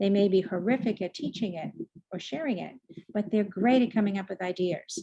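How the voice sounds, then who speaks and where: A woman with a slight Boston accent speaks at a fairly quick pace with fairly even intonation. Her medium-pitched voice is somewhat breathy, with a dark, mellow tone. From US Northeast, Boston. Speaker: leadership coach and speaker. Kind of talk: online presentation. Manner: fast.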